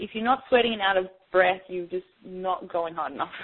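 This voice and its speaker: Female speech with an Australian accent, pitched in the middle range. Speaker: fitness trainer. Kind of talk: interview; workout instruction. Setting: phone call.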